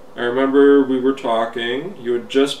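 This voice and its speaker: With a Canadian accent, a man talks in fairly even intonation against noticeable background noise. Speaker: hobby video blogger. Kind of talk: casual video letter monologue.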